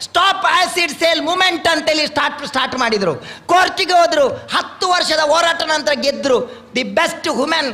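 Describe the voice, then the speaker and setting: In a coastal Karnataka accent, a man with an extremely high voice speaks in a raised, projected way, his loudness very even and his pitch varying in an ordinary way, over noticeable background noise. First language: Tulu (speaking Kannada). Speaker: swami, religious leader. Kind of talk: religious blessing speech.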